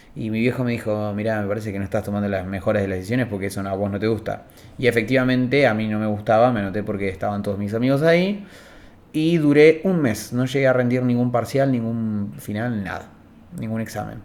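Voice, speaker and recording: A man talks at a very fast pace, his pitch medium with ordinary variation. Room echo is audible. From Argentina, Río Negro (Cipolletti). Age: 20s. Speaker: communication student. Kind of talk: interview. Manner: hesitant, many fillers.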